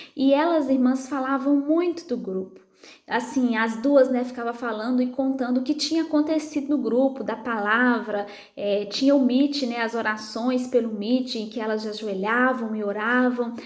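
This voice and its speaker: Soft-spoken, a woman talks at a high pitch and moderate pace with ordinary pitch variation. Audible room echo and noticeable background noise fill the recording. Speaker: psychologist and women's prayer group leader. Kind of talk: testimony.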